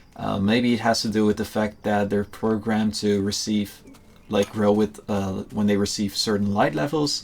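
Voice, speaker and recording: Speaking with a Dutch accent, a man has a fairly low pitch and a relaxed tone. His pace is moderate. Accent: Dutch accent, now getting stronger again. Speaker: gaming YouTuber. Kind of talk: casual gameplay commentary. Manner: relaxed, hesitant with many fillers.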